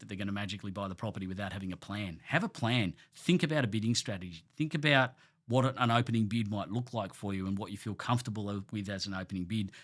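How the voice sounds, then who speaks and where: Very fast, nearly pause-free speech with ordinary pitch variation in an Australian accent, on a very clean recording against a silent background. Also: man. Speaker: award-winning auctioneer. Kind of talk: podcast interview answer.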